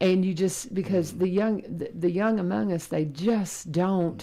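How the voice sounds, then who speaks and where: With a Kentucky accent, a woman speaks at a fairly low pitch with ordinary pitch variation over noticeable background noise. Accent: US South, Kentucky. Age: 60s. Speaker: radio host and teacher. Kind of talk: casual chat.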